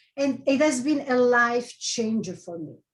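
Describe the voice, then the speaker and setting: Someone with a strong Italian accent speaks in a somewhat breathy voice with ordinary pitch variation. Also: woman. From Italy. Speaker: life coach. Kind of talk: presentation.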